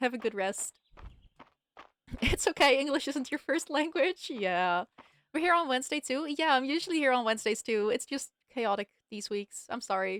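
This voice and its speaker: With a Dutch accent, a high-pitched woman speaks at a moderate pace with lively intonation and long, frequent pauses, in a dry, close sound with no echo. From Netherlands. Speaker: game streamer. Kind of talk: casual livestream chat.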